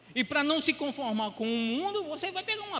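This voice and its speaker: Against noticeable background noise, a man speaks at a fairly quick pace with an extremely high pitch and very wide pitch swings. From Pernambuco, northeast Brazil. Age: 70s. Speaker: pastor. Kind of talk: sermon.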